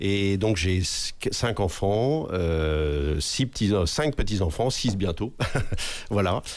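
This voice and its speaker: A fairly low-pitched man at a very slow pace, with lively intonation and very even loudness. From western France, Anjou. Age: 60s. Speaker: municipal election candidate, former army officer. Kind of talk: self-introduction in debate. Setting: radio studio. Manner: hesitant, many fillers.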